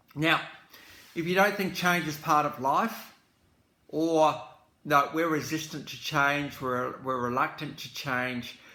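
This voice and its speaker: A man with a fairly high voice speaks very slowly, his loudness swinging widely, with long, frequent pauses, ordinary pitch movement and audible echo from the room. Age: 60s. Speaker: music commentator. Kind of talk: casual reflective talk to camera. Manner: hesitant, many fillers.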